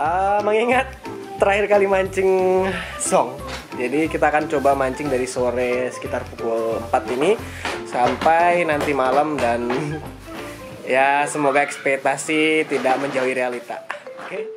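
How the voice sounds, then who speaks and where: Clear music plays behind a man who speaks at a moderate pace. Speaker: vlogger. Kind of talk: casual vlog chat. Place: waterside. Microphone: phone near.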